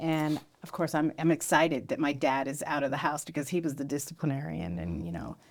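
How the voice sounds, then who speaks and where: Vocal fry marks this woman's very deep, low voice. The recording is very clean, with a silent background. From US West Coast, San Jose area. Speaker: podcast co-host. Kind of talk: casual chat.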